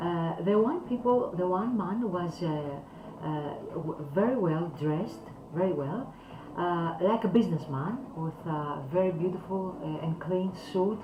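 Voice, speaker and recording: Amid audible room echo and noticeable background noise, a woman with a non-native accent speaks at a fairly slow pace in a fairly low pitch with ordinary pitch variation. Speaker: calligraphy teacher. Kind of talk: talk to camera. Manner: halting.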